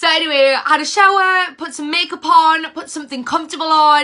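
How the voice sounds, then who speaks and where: The voice is raised and projected, with a bright, sharp tone and a fairly quick pace. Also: woman. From northern England, Cumbria. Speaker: mindset and leadership mentor. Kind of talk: casual livestream talk. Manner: animated.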